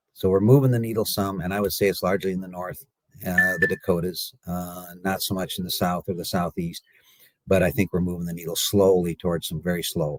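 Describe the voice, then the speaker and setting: A man with an American accent and a very deep, low pitch talks at a fairly quick pace. His intonation is fairly even, and the sound is dry and close with no echo. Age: 60s. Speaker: cattle market analyst. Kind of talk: radio interview. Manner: halting, many fillers.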